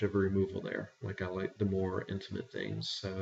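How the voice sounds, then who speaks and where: Talking at a fairly quick pace with an American accent, a man is heard against noticeable background noise. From eastern North Carolina. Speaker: teacher, dialect interviewee. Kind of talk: interview.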